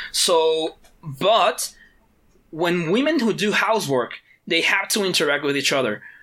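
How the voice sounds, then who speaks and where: Delivered at a fairly slow pace with long, frequent pauses, the speech has an animated tone. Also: very clean recording, silent background. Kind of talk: casual chat. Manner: animated, profane.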